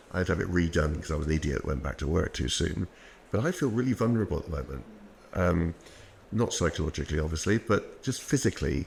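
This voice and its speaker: A man with a British accent speaks very fast in a very deep, low voice. His intonation is lively, with some vocal fry. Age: 60s. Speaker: orthopaedic knee surgeon. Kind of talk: podcast interview.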